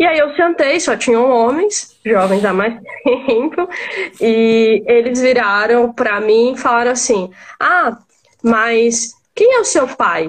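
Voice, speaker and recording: A woman's high-pitched voice at a very slow pace, with lively intonation and very even loudness. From Maranhão, Brazil. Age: 20s. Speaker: lawyer and political party spokesperson. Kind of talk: live-stream interview on feminism and politics. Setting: online live stream.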